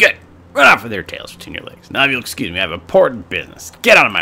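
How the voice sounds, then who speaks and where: A man's put-on character voice at medium pitch, raised and projected, with big swings in loudness and a very fast pace. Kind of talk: comic overacting. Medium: game stream. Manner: rude, blustering, menacing.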